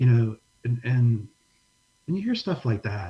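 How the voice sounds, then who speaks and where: This soft-spoken man has an American accent and a medium pitch. His voice is somewhat breathy, with a dark, mellow tone. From New Orleans, US South. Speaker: pastor and disaster relief ministry director. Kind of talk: casual interview, testimony.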